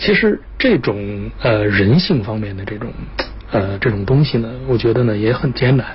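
Over noticeable background noise, a man speaks at medium pitch and a moderate pace with ordinary pitch variation. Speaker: business executive. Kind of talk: interview. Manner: frequent filler pauses.

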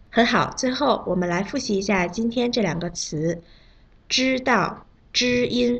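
Pitched fairly high with very wide pitch swings, a woman speaks at a fairly slow pace with vocal fry. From China. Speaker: Chinese pronunciation teacher. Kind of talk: language lesson. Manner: slow, clear enunciation.

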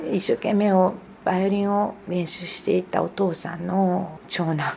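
A woman speaks at a moderate pace in an unremarkable speaking voice, fairly low in pitch, with ordinary pitch variation. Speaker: pianist. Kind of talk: interview. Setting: at home.

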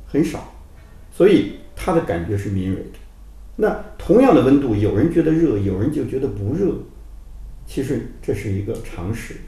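Long, frequent pauses break up a man's speech, which has very wide pitch swings and audible room echo. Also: medium pitch for a man, moderate pace. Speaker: documentary film director. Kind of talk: interview.

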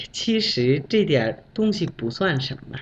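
A man is speaking. His pitch swings very widely. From Bangladesh. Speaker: Chinese language learner. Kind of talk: prepared talk with told anecdote. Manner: animated.

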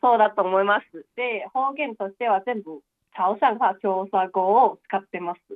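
A woman with a Chinese accent talks at a moderate pace and medium pitch. Her pitch varies in an ordinary way while her loudness swings widely. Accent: Chinese-accented Japanese. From eastern Guangdong, China (Chaoshan). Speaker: university student. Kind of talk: advice call interview. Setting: phone call.

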